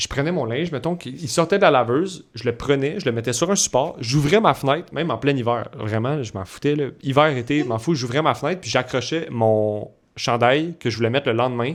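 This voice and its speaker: Animated and at a fairly quick pace, a man talks in a medium pitch with ordinary pitch variation. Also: very clean recording, silent background. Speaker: podcast co-host. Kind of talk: casual chat.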